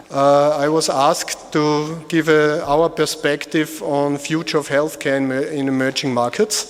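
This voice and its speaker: Over noticeable background noise, a man with an Austrian accent speaks fairly slowly at a fairly high pitch, using monotone, flat intonation and hardly any pauses. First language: German. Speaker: medical device company executive. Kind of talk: conference presentation. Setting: conference hall with audience. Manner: halting.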